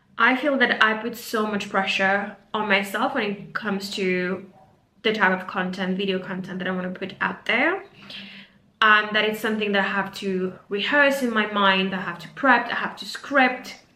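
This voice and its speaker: Noticeable background noise and audible room echo around a woman speaking with ordinary pitch variation. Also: medium pitch for a woman, moderate pace. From Mauritius. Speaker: career coach. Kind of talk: casual vlog monologue. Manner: unscripted, some filler words.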